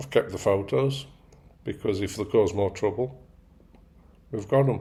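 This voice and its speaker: This man's voice is somewhat breathy, fairly low in pitch, and dark and mellow in tone. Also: ordinary pitch variation, moderate pace. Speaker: stroke survivor. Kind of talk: casual talk to camera.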